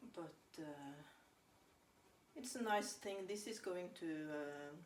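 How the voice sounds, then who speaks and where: In a Norwegian accent, the speaker talks at a fairly slow pace with very wide pitch swings, with audible room echo and noticeable background noise. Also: woman. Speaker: home baker. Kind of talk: casual chat. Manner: halting.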